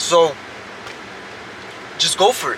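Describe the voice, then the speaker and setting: A man is talking at a moderate pace. Noticeable background noise can be heard behind him. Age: 20s. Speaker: vlogger and stucco contractor. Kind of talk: casual vlog monologue. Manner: halting, repeats words.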